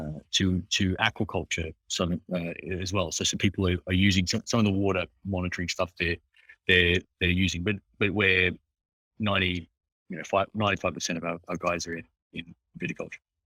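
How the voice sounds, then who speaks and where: A man with an Australian accent, a very deep, low pitch and a bright, sharp tone, at a fairly quick pace with long, frequent pauses and monotone, flat intonation, in a very clean recording with a silent background and a dry, close sound with no echo. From Australia, Hunter Valley. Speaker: agritech startup founder. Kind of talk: interview. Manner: halting, many fillers and restarts.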